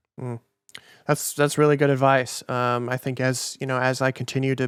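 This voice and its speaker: A man in a Minnesota accent talks very fast in a flat monotone, with a dry, close sound and no echo. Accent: Minnesota accent, mistaken for Canadian. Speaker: podcast host and musician. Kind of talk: casual interview. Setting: video call.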